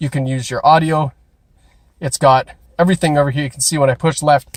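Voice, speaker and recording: A man speaks at a fairly quick pace with a Canadian accent and a fairly high pitch, somewhat breathy. His loudness swings widely, and the sound is dry and close with no echo. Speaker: car salesperson doing video reviews. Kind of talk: car walkaround review. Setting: outdoors in cold, then inside a car. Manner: casual, animated.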